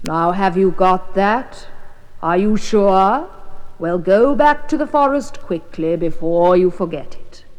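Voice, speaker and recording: The voice is a put-on character voice. It sits at a middle pitch and moves fairly slowly. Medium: read story.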